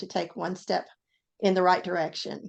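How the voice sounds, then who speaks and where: A woman in a Southern accent, medium in pitch and moderate in pace, against a quiet background. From US South, Tennessee. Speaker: author and former ICU nurse. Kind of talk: interview.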